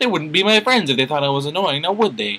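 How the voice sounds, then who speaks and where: In a put-on character voice, a man rattles along at a very fast pace. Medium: read story. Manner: bubbly.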